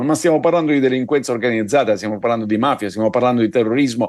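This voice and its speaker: A man's voice comes through on a very clean recording against a silent background. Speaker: political commentator. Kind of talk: news commentary.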